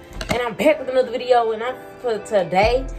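A woman talks at a fairly quick pace in an American accent. Clear music plays in the background. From Texas. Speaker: vlogger. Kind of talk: casual vlog talk to camera. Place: home room. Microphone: phone near.

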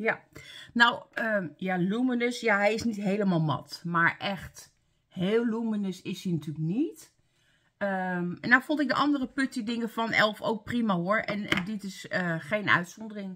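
Her tone bright and sharp, a woman speaks at a fairly slow pace with lively intonation. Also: medium pitch for a woman. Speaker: beauty vlogger. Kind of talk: casual vlog, product review. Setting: home, talking to camera. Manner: casual, chatty, halting.

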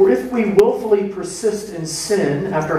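A man talks at a fairly slow pace. Audible room echo surrounds his voice. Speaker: pastor. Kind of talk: scripture reading. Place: church. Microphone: podium.

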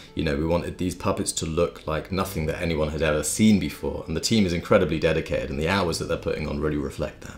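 With faint music in the background, a man of very deep, low pitch speaks at a very fast pace with ordinary pitch variation. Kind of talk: casual vlog chat. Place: home room. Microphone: phone near.

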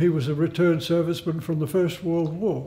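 A man with an Australian accent, high in pitch, his tone dark and mellow. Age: 80s+. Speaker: Salvation Army bandsman. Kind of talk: interview answer. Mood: proud, earnest. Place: home room.

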